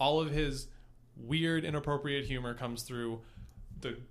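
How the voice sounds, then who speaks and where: Bright and sharp in tone, a man speaks fairly slowly at a fairly high pitch with ordinary pitch variation. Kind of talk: casual chat. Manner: slow and careful when improvising.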